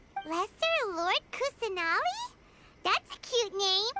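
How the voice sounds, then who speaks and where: Over music in the background, a put-on character voice squeaks at an extremely high pitch and a fairly slow pace. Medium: video game. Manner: bright, chirpy.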